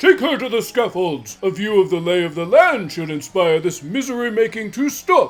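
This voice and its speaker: Doing a put-on character voice in a pompous tone, a man speaks at a high pitch with very wide pitch swings, a moderate pace and hardly any pauses, as faint music plays in the background. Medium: actual play. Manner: pompous, declamatory.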